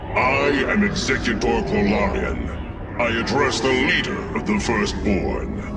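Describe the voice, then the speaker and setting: Over loud background noise, a man uses a put-on character voice. He speaks at a medium pitch and a fairly slow pace. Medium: machinima. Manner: formal, commanding.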